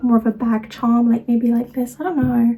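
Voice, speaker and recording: Music plays in the background as a woman with a fairly high voice speaks in a monotone, flat intonation. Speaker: craft and lifestyle vlogger. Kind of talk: casual vlog talk to camera.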